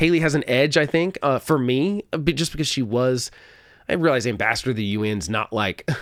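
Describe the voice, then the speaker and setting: With a slight Oklahoma accent, the speaker talks at a fairly quick pace with lively intonation on a very clean recording with a silent background. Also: man. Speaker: political podcast host. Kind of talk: solo political commentary. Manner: conversational, with frequent self-corrections and repeats.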